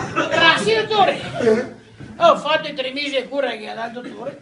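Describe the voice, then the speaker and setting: A man with a Venetian accent at a moderate pace. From Veneto. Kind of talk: joke telling.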